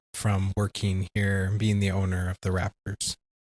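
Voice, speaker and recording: A man's somewhat breathy, fairly low voice in a dry, close sound with no echo, on a very clean recording with a silent background. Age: 40s. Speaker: podcast co-host. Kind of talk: podcast interview.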